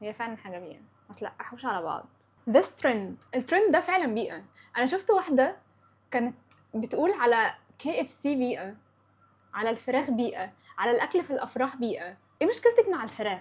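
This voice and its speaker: A woman with an Upper Egyptian accent, high-pitched and animated, with very wide pitch swings, big swings in loudness, a moderate pace and long, frequent pauses. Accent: Upper Egyptian (Sa'idi) dialect. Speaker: podcast host. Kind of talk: casual chat.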